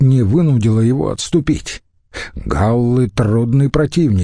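With ordinary pitch variation, a natural voice reads a passage aloud.

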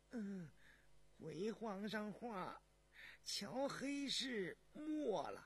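In a put-on character voice, the speaker moves at a very slow pace with big pitch swings. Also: man, high pitch for a man.

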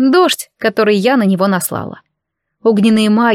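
Over a quiet background, ordinary pitch variation shapes an unforced reading voice.

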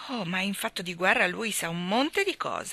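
The reading here is done in an unforced voice.

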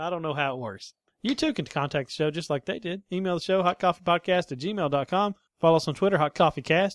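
A man talks very fast at a high pitch with ordinary variation, in a dry, close sound with no echo. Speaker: podcast host. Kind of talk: casual chat.

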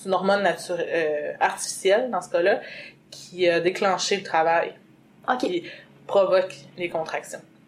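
Through noticeable background noise, a woman speaks with ordinary pitch variation and long, frequent pauses. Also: medium pitch for a woman, moderate pace. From Quebec, Lac-Saint-Jean. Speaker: mother sharing birth experience. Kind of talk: testimony.

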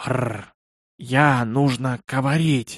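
A man's put-on character voice, raspy and hissing, at a medium pitch and a fairly slow pace

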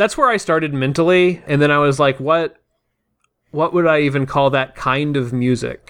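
An unremarkable speaking voice from a man with an American accent, fairly high in pitch, with ordinary pitch variation, very even loudness and a moderate pace. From US South. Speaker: tabletop RPG podcast player. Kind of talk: casual chat.

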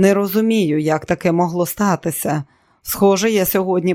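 Someone reads aloud in a natural voice, pitch varying in an ordinary way.

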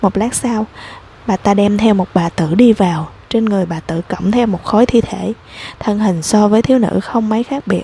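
The speaker reads in a natural reading voice, and the pitch shifts in an ordinary way.

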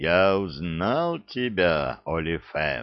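Booming at a very deep, low pitch, a man speaks very slowly in a put-on character voice. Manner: menacing, thundering.

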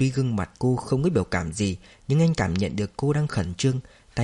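Lively intonation over plain reading aloud

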